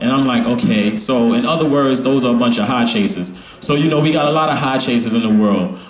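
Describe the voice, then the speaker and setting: Amid audible room echo, a man speaks at a fairly quick pace with hardly any pauses and very even loudness. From Brownsville, Brooklyn, New York. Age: 30s. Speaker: spoken word poet and youth organizer. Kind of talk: open mic spoken word talk. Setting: stage with audience and microphone. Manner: casual, filler-heavy. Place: shop. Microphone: handheld.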